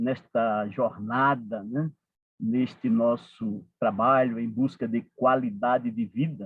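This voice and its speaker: A man with a medium pitch, lively intonation and a Paraíba accent. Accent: Northeastern Brazilian (Paraíba), kept. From Northeast Brazil, Paraíba (João Pessoa). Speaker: support group coordinator, speaker. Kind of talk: talk to a support group. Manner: frequent fillers, conversational.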